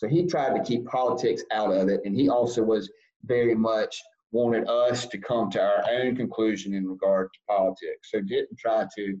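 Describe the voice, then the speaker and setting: This man speaks with a Southern US accent. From US South, South Carolina. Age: 40s. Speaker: lobbyist. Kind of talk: interview. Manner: halting.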